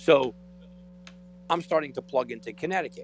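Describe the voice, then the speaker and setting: Noticeable background noise sits behind a man's voice. He has a fairly high pitch and a fairly quick pace. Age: 40s. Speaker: sports radio co-host. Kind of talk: sports talk radio. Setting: radio studio.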